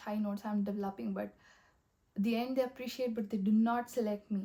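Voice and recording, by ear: The voice has a dark, mellow tone with ordinary pitch variation. It moves at a moderate pace. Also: woman.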